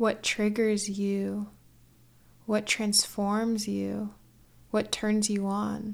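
Relaxed in tone, a woman speaks at a very slow pace with long, frequent pauses. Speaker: podcast host. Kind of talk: solo monologue, casual personal reflection. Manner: slow, relaxed talker.

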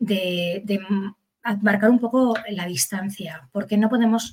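A woman with an ordinary speaking voice talks at a fairly slow pace and a medium pitch. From Basque Country, Spain (Bilbao). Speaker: psychologist and educator. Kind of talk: expert interview.

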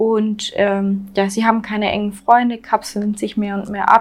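Speaking with a Swabian accent, a woman at medium pitch talks at a fairly slow pace, somewhat breathy and in a monotone, flat delivery. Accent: Swabian dialect, slight to moderate. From Swabia, southwest Germany. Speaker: true crime podcast co-host. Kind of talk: casual true crime storytelling. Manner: hesitant, many fillers.

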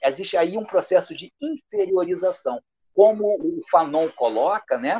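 This man talks at a fairly slow pace. His intonation is lively. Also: dry, close sound with no echo. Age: 60s. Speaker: history professor. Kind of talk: interview. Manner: halting.

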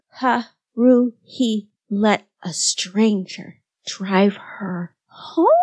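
Putting on a squeaky character voice, a woman talks at a very slow pace and a fairly high pitch with ordinary pitch variation. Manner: squeaking.

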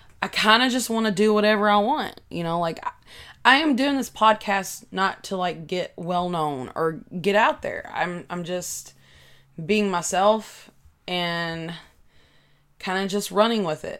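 With music in the background, a woman with a Kentucky accent talks at a fairly slow pace with lively intonation. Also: medium pitch for a woman. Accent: Southern US (Kentucky). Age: 20s. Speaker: podcaster. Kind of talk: casual solo chat. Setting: home recording with desk microphone. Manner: halting, many filler words.

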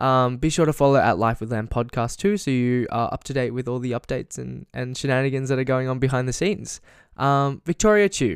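This is a man with an unremarkable speaking voice. His pitch varies in an ordinary way. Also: medium pitch for a man, fairly quick pace, very clean recording, silent background. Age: 20s. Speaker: podcast host. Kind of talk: casual interview.

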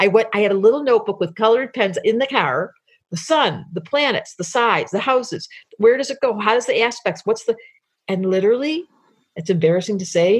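A woman with an American accent talks at a fairly quick pace, her pitch fairly high. Her voice is somewhat breathy, with lively intonation. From US Midwest (Detroit). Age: 60s. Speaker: astrologer. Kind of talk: casual chat.

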